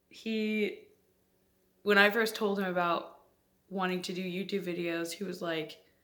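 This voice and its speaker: In a room with audible echo, a woman with a medium pitch speaks at a fairly slow pace in a bright, sharp tone, her intonation monotone and flat, with long, frequent pauses. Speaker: vlogger. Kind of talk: casual vlog talk to camera. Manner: voice spikes and vocal tics from Tourette's; halting, with fillers and self-laughter.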